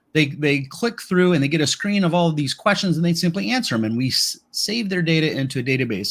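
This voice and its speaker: Talking at a fairly quick pace, a man uses lively intonation at a fairly high pitch. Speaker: software tutorial host. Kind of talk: live stream tutorial. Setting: live stream with remote guest. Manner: fast.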